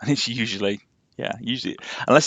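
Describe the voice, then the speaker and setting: Speaking in a Yorkshire accent, a man talks at a very fast pace. His pitch shows ordinary variation. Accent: posh Yorkshire twang, moderate. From Yorkshire, England. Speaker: game streamer. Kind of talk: casual live-stream chat.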